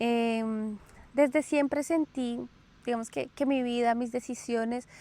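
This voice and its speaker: Speaking in a Colombian accent, a woman uses a high pitch with a dark, mellow tone, fairly even intonation and a very slow pace. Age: 30s. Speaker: podcast host. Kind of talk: casual personal storytelling monologue. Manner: hesitant with filler sounds.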